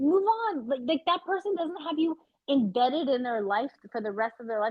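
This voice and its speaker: Very fast and animated, a woman with a Canadian accent speaks with lively intonation. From Canada, Vancouver. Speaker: podcast co-host. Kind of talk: casual chat. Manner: loud.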